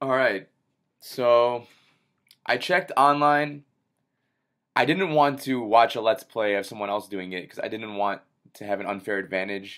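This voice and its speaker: A man at a moderate pace, lively intonation and big swings in loudness, long, frequent pauses, quiet background. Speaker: gamer. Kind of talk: gameplay commentary. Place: home room.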